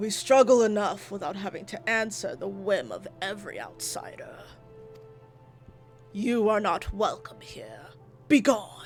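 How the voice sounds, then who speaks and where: A man uses a put-on character voice, high-pitched, raised and projected, at a moderate pace with long, frequent pauses. Clear music plays in the background. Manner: stern, commanding, dismissive.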